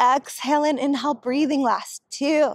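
A woman speaks with a high pitch. The sound is dry with no echo, and the background is quiet. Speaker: Pilates instructor. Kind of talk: guided reformer Pilates workout with breath and rep cues. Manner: rhythmic, counting cues in short clipped phrases; calm, encouraging and warm. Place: garden.

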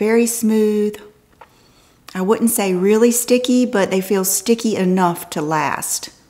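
A woman talks at a fairly high pitch and a very slow pace. Her pitch varies in an ordinary way. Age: 50s. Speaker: fashion and beauty vlogger; beauty vlogger. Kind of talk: casual haul video talk to camera. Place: home room.

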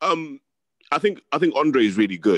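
In a London accent, a man talks with vocal fry and very wide pitch swings, the sound dry with no echo against a quiet background. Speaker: boxing pundit. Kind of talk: casual chat. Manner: articulate. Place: home room. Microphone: webcam.

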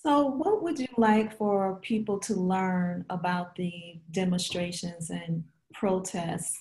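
A woman's somewhat breathy, medium-pitched voice moves at a very slow pace. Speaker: professor and interviewer. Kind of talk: oral history interview.

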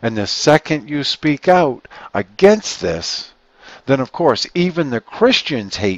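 At a slow pace, a man speaks at medium pitch with big pitch swings, the sound dry and close with no echo.

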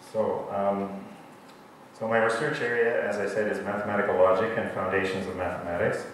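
This man has an American accent, a fairly low pitch and fairly even intonation. Strong room echo and light background noise surround his voice. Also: fairly quick pace. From USA. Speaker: mathematics professor. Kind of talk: lecture. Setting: lecture hall with audience and microphone. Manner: loud. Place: hall.

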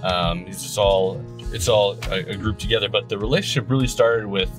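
Clear music plays in the background. A man is speaking. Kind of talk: casual promotional commentary. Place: car.

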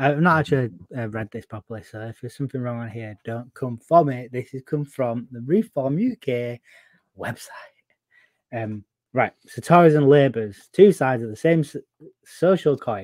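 English accent with big swings in loudness and long, frequent pauses, over a quiet background with a dry sound and no echo. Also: man, ordinary pitch variation, moderate pace. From England. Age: 30s. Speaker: podcast co-host. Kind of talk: casual political chat. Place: home room. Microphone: video call.

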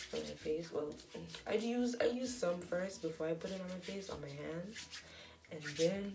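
A woman with a fairly low pitch speaks at a moderate pace with ordinary pitch variation and big swings in loudness, amid noticeable background noise. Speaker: beauty vlogger. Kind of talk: casual tutorial vlog chat. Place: bathroom. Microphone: phone near.

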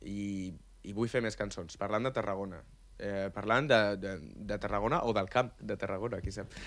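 The man's pitch is fairly low. He speaks at a moderate pace. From Catalonia, Maresme (Vilassar de Mar); Catalonia. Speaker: amateur reggaeton musician; radio guest. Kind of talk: casual chat. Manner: animated. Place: studio. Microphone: studio mic.

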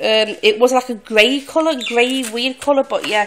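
Over light background noise, a woman uses a raised, projected voice at a fairly slow pace. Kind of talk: casual vlog chat. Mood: happy, grateful. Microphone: phone near.

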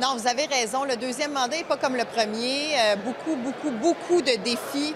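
With noticeable background noise, a woman speaks at a high pitch and a moderate pace, her pitch varying in an ordinary way. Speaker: government minister. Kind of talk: interview answer. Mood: proud, enthusiastic. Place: hall. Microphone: handheld.

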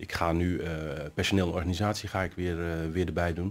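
A man's very deep, low voice with fairly even intonation. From Netherlands, Nieuwkoop; Netherlands. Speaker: city councillor. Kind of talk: interview. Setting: studio. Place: hall.

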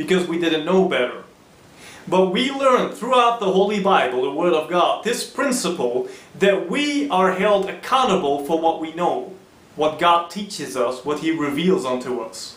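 A man at a moderate pace amid audible room echo. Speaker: presenter. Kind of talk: sermon. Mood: earnest, persuasive preaching.

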